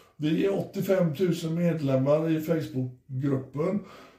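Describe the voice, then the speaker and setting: With audible room echo around him, a man speaks at a fairly high pitch and varies it in an ordinary way. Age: 50s. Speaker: podcast host. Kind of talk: casual chat. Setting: hotel room. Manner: animated.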